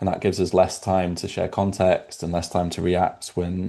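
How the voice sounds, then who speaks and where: Against a quiet background, a man with a British accent speaks at a fairly quick pace in a very deep, low pitch with a dark, mellow tone. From UK. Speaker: product executive. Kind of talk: webinar panel discussion.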